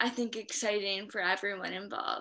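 Against a quiet background, a woman with a fairly high pitch and a bright, sharp tone speaks in a monotone, flat intonation. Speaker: stroke survivor. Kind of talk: interview. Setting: video call. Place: home room. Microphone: video call.

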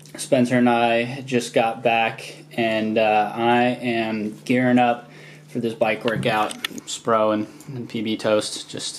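Noticeable background noise sits behind a man as he talks. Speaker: vlogger. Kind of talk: casual vlog chat. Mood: pleased, quietly upbeat. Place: home room. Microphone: phone near.

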